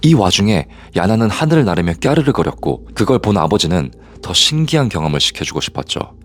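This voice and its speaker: A man with a slight non-native accent and a fairly low pitch talks at a fairly quick pace with very wide pitch swings amid noticeable background noise. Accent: slightly non-native Korean pronunciation. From Korea, moved to Canada at age 8. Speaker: private investigator and storyteller. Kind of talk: true-crime story narration.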